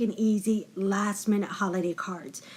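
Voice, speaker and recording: Somewhat breathy and fairly high in pitch, a woman speaks at a fairly slow pace with fairly even intonation. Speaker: card-making crafter. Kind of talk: tutorial.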